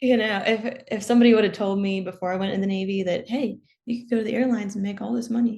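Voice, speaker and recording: At a very fast pace, a woman with an American accent speaks in a fairly high, somewhat breathy voice with a dark, mellow tone and fairly even intonation. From US, Maryland. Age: 20s. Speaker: commercial pilot and former naval aviator. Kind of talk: interview.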